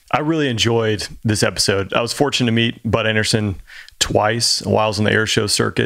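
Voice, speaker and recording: An unremarkable speaking voice with an American accent, fairly quick in pace, with fairly even intonation and very even loudness. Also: man, fairly low pitch for a man. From Georgia, US South. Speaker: former fighter pilot co-host. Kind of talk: casual chat.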